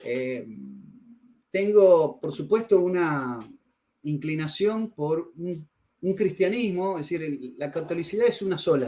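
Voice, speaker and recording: A man with a Rioplatense accent and a dark, mellow tone speaks at a high pitch, very slowly, with lively intonation and long, frequent pauses. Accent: Argentine Rioplatense Spanish. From Argentina, Rosario. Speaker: writer on religion and philosophy, interviewee. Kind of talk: interview. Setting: video call over internet.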